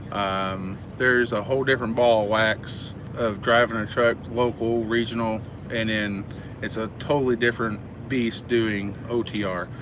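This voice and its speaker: American accent, monotone and flat intonation, moderate pace, noticeable background noise. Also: man, medium pitch for a man. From United States. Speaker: truck driver and trainer. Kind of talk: live stream Q&A. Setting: live stream. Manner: halting, many fillers.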